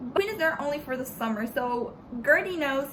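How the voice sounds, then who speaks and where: Amid noticeable background noise and audible room echo, a woman speaks in a high voice with a Spanish accent. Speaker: book vlogger. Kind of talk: casual book review vlog. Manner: halting, repeats words.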